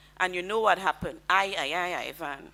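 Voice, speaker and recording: A woman with a Caribbean accent, bright and sharp in tone, at a moderate pace. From Grenada. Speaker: lawyer and diplomat. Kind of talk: convention speech. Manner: formal.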